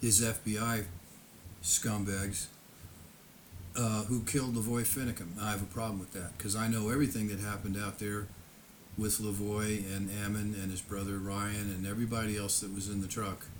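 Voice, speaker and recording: A man at a fairly low pitch, monotone and flat in intonation, at a moderate pace, with audible room echo. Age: 70s. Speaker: YouTuber recounting personal history. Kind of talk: casual monologue. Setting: home, seated in lawn chair before camera. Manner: halting.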